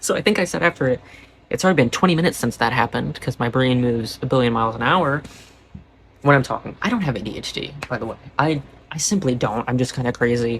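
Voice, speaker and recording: The man talks very fast at a medium pitch with ordinary pitch variation. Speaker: vlogger. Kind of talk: casual monologue to camera. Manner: animated.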